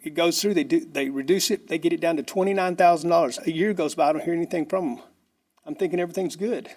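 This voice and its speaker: A man with an American accent talks at a very fast pace. His voice is high, with ordinary pitch variation. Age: 50s. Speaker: property owner requesting a variance. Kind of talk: public comment at a city board meeting. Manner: halting, repetitive.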